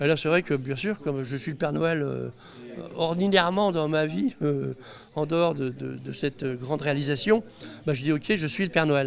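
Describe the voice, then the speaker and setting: His pace is moderate. This man's voice is fairly high, and its pitch varies in an ordinary way. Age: 60s. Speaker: inventor, reality TV participant. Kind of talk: interview. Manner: hesitant, many fillers.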